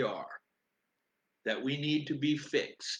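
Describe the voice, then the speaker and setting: This man's pitch is fairly high. He talks at a fairly slow pace. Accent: American. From United States. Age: 60s. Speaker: spiritual livestreamer. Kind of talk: live stream talk. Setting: live video stream.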